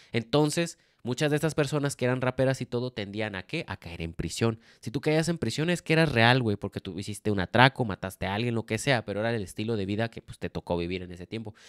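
At a very fast pace, a man with a medium pitch speaks with lively intonation, a dry sound with no echo and a quiet background. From Mexico. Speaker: podcast co-host. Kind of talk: casual chat. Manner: casual, slangy. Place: home room. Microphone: handheld.

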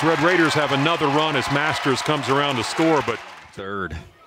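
A man talks at a moderate pace with very wide pitch swings. Crowd noise fills the background. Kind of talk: live baseball play-by-play commentary. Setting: baseball stadium broadcast. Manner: dramatic, building to a climax at the finish.

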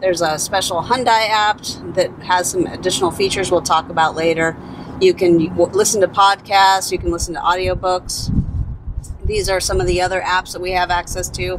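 The sound is dry, with no echo. Background noise is noticeable throughout. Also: woman. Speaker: car owner demonstrating features. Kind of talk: tutorial. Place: car.

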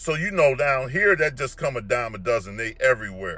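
Bright and sharp in tone, a man talks at a moderate pace. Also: dry sound with no echo. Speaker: fitness commentator. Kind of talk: opinion rant vlog. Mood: disapproving, lecturing. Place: car. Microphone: phone near.

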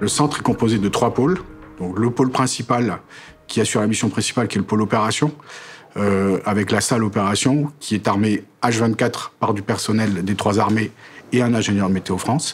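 A man with a fairly low voice speaks at a moderate pace and very even loudness while music plays in the background. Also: ordinary pitch variation. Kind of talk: interview answer. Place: office. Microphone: lapel.

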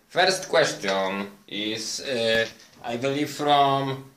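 In a room with audible echo and light background noise, a man speaks at a medium pitch with very wide pitch swings. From Poland. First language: Polish. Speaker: vlogger. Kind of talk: monologue to camera. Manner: halting. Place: home room. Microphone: phone near.

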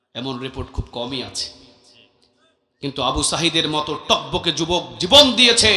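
The speaker is a man with a fairly high pitch. He has a normal speaking voice. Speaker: Islamic preacher. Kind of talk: waz sermon to a crowd, motivational. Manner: loud, forceful, rhetorical.

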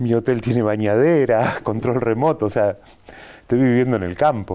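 Ordinary pitch variation in a dark, mellow tone. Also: man. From Buenos Aires, Argentina; Argentina. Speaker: animation filmmaker; TV interview guest. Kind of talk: interview. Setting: TV studio. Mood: relaxed, reflective. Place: studio.

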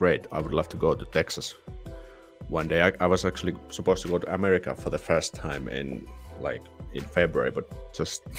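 Faint music sounds behind the speaker. He is a man talking at a fairly quick pace. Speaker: livestream host. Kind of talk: casual livestream chat. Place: home room. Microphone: studio mic.

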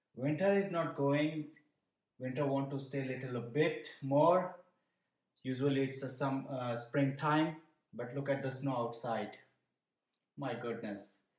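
The speaker goes at a fairly slow pace with long, frequent pauses and ordinary pitch variation, heard over a quiet background with audible room echo. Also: man. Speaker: cooking channel host. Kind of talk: casual vlog chat. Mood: cheerful, relaxed. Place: kitchen. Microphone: phone near.

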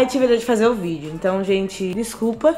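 Very fast speech with lively intonation over faint background music. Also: woman. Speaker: beauty vlogger. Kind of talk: hair tutorial vlog. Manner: animated. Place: home room. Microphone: phone near.

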